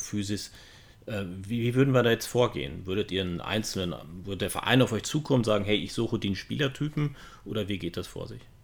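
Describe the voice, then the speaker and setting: A man with a plain, everyday voice at fairly low pitch, on a very clean recording with a silent background. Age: 50s. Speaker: podcast co-host. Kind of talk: casual chat.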